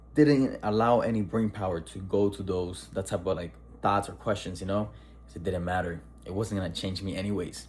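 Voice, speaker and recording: A man's vocal fry at a very deep, low pitch, with ordinary pitch variation and a fairly quick pace. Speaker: person who stutters. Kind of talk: casual talk to camera.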